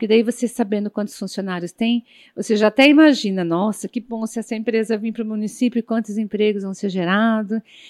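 A woman speaks at a moderate pace with a fairly high pitch and a dark, mellow tone. The sound is dry and close with no echo, in a very clean recording with a silent background. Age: 50s. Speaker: public management consultant. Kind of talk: tutorial. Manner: halting, frequent filler 'é'.

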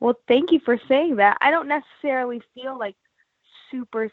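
A woman's unremarkable speaking voice at a moderate pace, with ordinary pitch variation. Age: 20s. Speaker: guitarist and songwriter. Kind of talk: casual interview.

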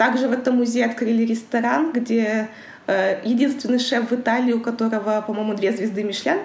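Delivered at a moderate pace with fairly even intonation and very even loudness, the voice comes through noticeable background noise and audible room echo. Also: woman, fairly high pitch for a woman. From Kazakhstan, Karaganda. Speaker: international trade professional. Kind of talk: interview.

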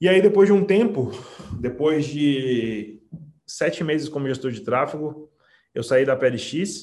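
A man's fairly high-pitched voice shows ordinary pitch variation. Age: 30s. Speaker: digital marketing strategist. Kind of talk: interview. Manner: animated; confident, emphatic.

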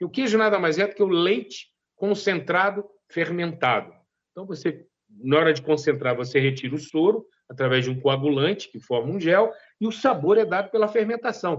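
This man speaks with a Minas Gerais accent at a high pitch and a moderate pace. His intonation is lively, and his loudness swings widely. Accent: Mineiro. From Minas Gerais, Zona da Mata (Brazil). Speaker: master cheesemaker. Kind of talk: interview.

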